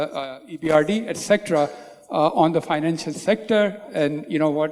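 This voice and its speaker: Over noticeable background noise, a man's speech holds a moderate pace and ordinary pitch variation. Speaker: panel moderator. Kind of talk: panel introduction. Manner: standing while speaking.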